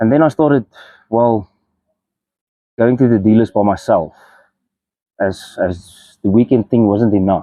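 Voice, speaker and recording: A man with a dark, mellow tone and ordinary pitch variation speaks at a very even loudness, leaving long, frequent pauses, in a dry, close sound with no echo. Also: medium pitch for a man, fairly slow pace. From South Africa, Mpumalanga. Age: 30s. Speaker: person in addiction recovery. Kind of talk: testimony. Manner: halting, with fillers and repeats.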